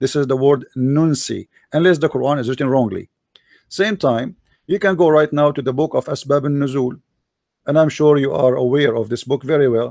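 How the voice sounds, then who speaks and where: On a very clean recording with a silent background, a man with an Arabic accent talks at a fairly quick pace with a fairly high pitch and ordinary pitch variation. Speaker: religious debater. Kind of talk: debate.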